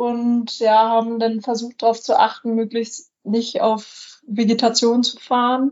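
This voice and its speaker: At a very slow pace with hardly any pauses, a woman speaks in a fairly high, monotone, flat voice. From northern Germany, near Lüneburg (Lower Saxony). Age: 20s. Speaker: long-distance bicycle traveller. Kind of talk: podcast interview.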